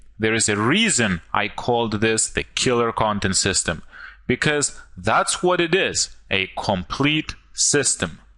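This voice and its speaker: Over a quiet background, a man with a non-native accent speaks at a fairly slow pace and medium pitch, his tone bright and sharp, his pitch swings very wide and his loudness very even. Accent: foreign. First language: not English. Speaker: online marketer. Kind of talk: sales pitch. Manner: animated.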